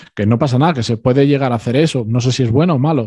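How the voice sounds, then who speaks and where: A man speaks very fast at medium pitch in a dark, mellow tone. His pitch varies an ordinary amount. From Spain. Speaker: former architect. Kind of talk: interview. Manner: halting.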